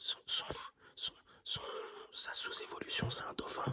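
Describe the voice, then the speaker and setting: Whispering fills the clip. The voice belongs to a man. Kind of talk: casual talk to camera, ASMR-style trading card opening. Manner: whispered, soft-spoken.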